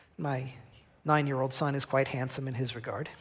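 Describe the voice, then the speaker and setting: This man talks at a fairly quick pace with a fairly high pitch, a somewhat breathy sound and an American accent. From New Jersey. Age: 40s. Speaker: missionary journalist. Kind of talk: sermon. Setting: church.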